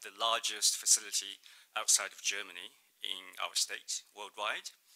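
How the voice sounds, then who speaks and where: A man with a Mandarin accent speaks at a fairly slow pace. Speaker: state trade representative. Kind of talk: conference presentation. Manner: hesitant, many fillers.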